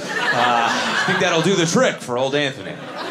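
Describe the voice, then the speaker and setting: The intonation is lively. Noticeable background noise runs underneath. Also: man. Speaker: stand-up comedian. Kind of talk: stand-up comedy set telling a personal story. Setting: stage with audience. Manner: animated, punchline-driven storytelling with a playful, self-mocking tone. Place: stage. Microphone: handheld.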